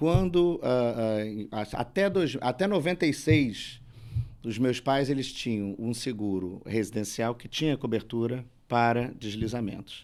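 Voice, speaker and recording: A man with a Rio de Janeiro accent speaks at medium pitch with lively intonation and a fairly slow pace. The recording is very clean, with a silent background. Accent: carioca. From Rio de Janeiro, Brazil. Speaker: lawyer. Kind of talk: panel discussion.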